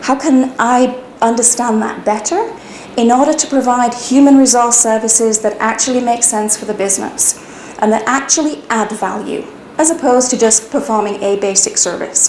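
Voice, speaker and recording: A woman with a British accent speaks at a high pitch with ordinary pitch variation. Noticeable background noise and audible room echo fill the recording. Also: moderate pace. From UK. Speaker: HR consultant, business owner. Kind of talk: personal business narrative.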